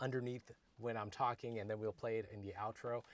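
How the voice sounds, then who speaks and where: With an American accent, a normal speaking voice delivers its words in fairly even intonation. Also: man. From India, raised in the US. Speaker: music production YouTuber. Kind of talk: casual chat. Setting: recording studio.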